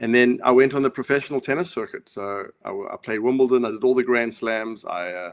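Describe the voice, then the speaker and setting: Speech comes at a very fast pace in a South African accent, with ordinary pitch variation and big swings in loudness. The sound is dry and close, with no echo. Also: man, medium pitch for a man. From South Africa, Johannesburg. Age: 50s. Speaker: author and former pro tennis player. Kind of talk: interview. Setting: live video call.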